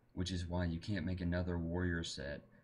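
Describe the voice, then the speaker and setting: This man's voice sits very deep and low. It comes across as somewhat breathy. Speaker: gaming tutorial maker. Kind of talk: screen-recorded tutorial. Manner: monotone.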